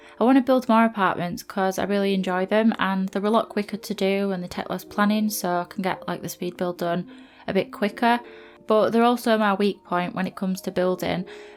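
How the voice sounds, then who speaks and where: A woman with a Yorkshire accent at a medium pitch and fairly quick pace, fairly even intonation, and music in the background. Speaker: gaming YouTuber. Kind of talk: voiceover commentary. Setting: recording in bedroom on laptop. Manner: monotone. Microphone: laptop placed on floor, speaker sits away from it.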